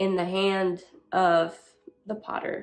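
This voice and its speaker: A medium-pitched woman's voice with a Spanish accent. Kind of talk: faith-based motivational talk. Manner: halting.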